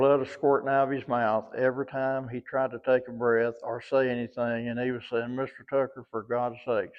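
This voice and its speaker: A man at medium pitch with monotone, flat intonation and a moderate pace. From US South. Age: 80s+. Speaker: former prison guard. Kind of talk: interview storytelling.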